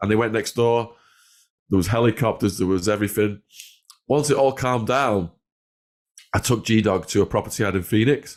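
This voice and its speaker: In a very clean recording with a silent background, a man with an English accent talks at a fairly quick pace, his medium pitch showing ordinary variation and his loudness staying very even. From northwest England. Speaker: former drug dealer and ex-prisoner. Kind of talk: storytelling interview.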